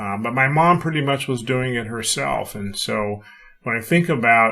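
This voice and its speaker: At a moderate pace, a man with an ordinary speaking voice talks at a medium pitch using lively intonation. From California, US. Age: 60s. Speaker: retired executive and author. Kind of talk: podcast interview.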